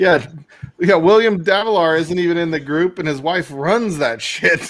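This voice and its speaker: A man speaks at a moderate pace with ordinary pitch variation. His voice is high. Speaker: livestream guest. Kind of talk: casual chat.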